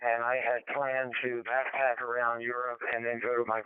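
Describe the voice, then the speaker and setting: Against noticeable background noise, a man talks at a medium pitch and a moderate pace. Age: 80s+. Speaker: ham radio net participant. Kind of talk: radio net check-in chat. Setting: amateur radio digital voice net. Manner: halting.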